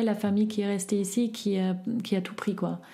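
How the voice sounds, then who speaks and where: With a German accent, a woman speaks at medium pitch and a moderate pace, somewhat breathy and in a monotone, flat intonation, with audible room echo. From East Berlin, Germany. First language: German (speaking French). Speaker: eyewitness. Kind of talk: personal testimony. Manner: halting.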